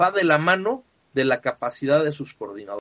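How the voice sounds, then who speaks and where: A man talks with a Mexican accent. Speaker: sports fan site writer. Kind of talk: casual interview chat. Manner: halting, many fillers.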